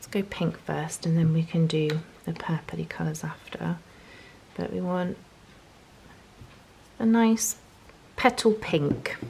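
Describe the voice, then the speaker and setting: A woman talks at a very slow pace with long, frequent pauses and big swings in loudness. Noticeable background noise is present. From northeast England, Newcastle. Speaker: journaling and watercolour tutorial creator. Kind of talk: tutorial. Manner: casual, chatty.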